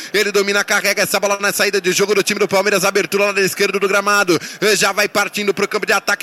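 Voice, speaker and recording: Raising and projecting his voice, a man with a high pitch talks at a very fast pace with hardly any pauses and very even loudness, over noticeable background noise. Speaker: radio sports announcer. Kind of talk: live football commentary. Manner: rapid-fire, excited play-by-play, rising energy at goals.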